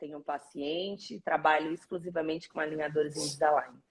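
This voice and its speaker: A woman's voice with a northeastern Brazilian accent. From Brazil, Northeast (Fortaleza, Ceará). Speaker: orthodontist. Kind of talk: live interview.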